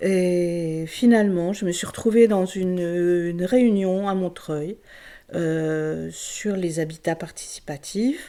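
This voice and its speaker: This voice has a dark, mellow tone, moving at a very slow pace with ordinary pitch variation. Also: woman, fairly low pitch for a woman. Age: 70s. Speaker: resident of a women's co-housing house. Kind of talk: interview testimony. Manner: halting, many hesitations.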